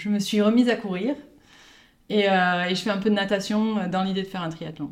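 Here is a woman with an unremarkable speaking voice. Her intonation stays fairly even. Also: very clean recording, silent background. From Pau, southwest France. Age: 30s. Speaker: guest. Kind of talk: casual chat.

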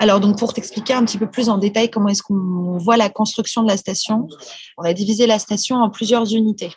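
Background noise is noticeable behind a woman with a fairly high voice. Her intonation is fairly even, and her loudness stays very even. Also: fairly quick pace. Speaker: space architect entrepreneur. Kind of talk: casual chat.

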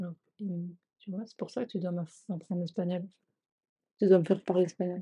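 At a moderate pace, a woman of medium pitch speaks in a dark, mellow, somewhat breathy tone with monotone, flat intonation, big swings in loudness and long, frequent pauses. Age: 30s. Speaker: vegan cooking trainee. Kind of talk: casual chat.

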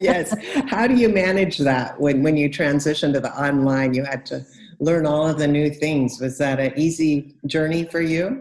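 A woman speaks with a Californian accent. Her pitch is very deep and low. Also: ordinary pitch variation, moderate pace. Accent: Californian American English. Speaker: podcast host and English coach. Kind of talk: interview.

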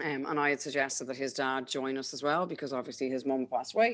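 In an Irish accent, a woman with a very deep, low pitch talks at a very fast pace with fairly even intonation on a very clean recording with a silent background. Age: 30s. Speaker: mother sharing birth story. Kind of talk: interview.

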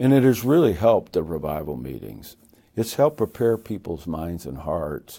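In an American accent, a man with a very deep, low pitch and a dark, mellow tone speaks with very wide pitch swings and vocal fry. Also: moderate pace. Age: 70s. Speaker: evangelist. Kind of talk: interview. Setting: studio.

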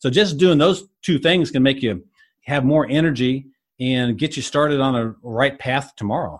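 At a moderate pace, a man talks in a plain, everyday voice with a fairly high pitch and ordinary pitch variation. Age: 50s. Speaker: health coach. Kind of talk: interview.

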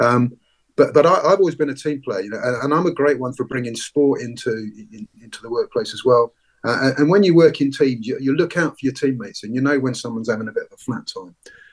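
Talking very fast in a London accent, a man with a fairly high pitch shows ordinary pitch variation and big swings in loudness. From London, England. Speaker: retired police commander. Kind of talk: interview. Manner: halting, many repeated words and fillers.

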